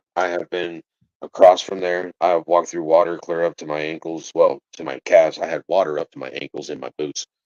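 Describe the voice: A man speaks at an extremely low pitch, at a fairly quick pace. His tone is slightly mellow, with little pitch movement.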